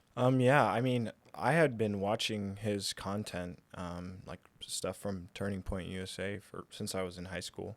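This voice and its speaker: Recorded very cleanly against a silent background, a man speaks at a fairly slow pace. His pitch shows ordinary variation. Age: 20s. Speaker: young father and host's son. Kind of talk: casual conversation on current events.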